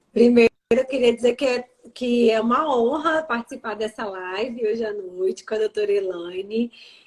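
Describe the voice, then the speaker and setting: Using an ordinary speaking voice, a woman with a fairly high pitch talks at a moderate pace with ordinary pitch variation. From Brazil, Vitória, Espírito Santo. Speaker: lawyer. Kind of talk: live stream talk. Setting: live stream video call.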